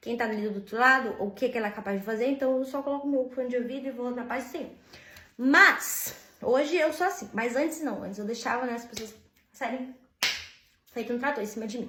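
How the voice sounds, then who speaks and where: Amid audible room echo, a woman speaks at a fairly quick pace in a high pitch with ordinary pitch variation. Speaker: vlogger. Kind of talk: casual monologue vent.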